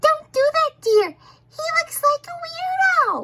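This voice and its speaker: A put-on character voice, female-sounding, at an extremely high pitch with very wide pitch swings and a fairly slow pace. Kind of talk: funny animal voice-over of a video. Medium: dub.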